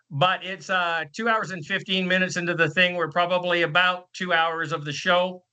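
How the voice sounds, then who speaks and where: A loud man speaks with a high pitch and a bright, sharp tone. His pace is moderate and his intonation fairly even. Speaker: podcast host. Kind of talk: casual panel chat. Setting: video call.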